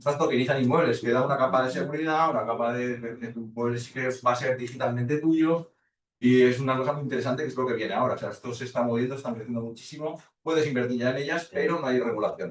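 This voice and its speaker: The man talks at a very fast pace with hardly any pauses. His pitch is medium and his intonation fairly even. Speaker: lecturer. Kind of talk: lecture.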